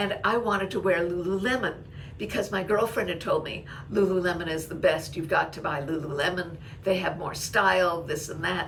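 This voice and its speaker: Noticeable background noise sits behind this woman's voice. She speaks at medium pitch with ordinary pitch variation. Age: 80s+. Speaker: blogger and YouTuber. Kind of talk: casual talk to camera.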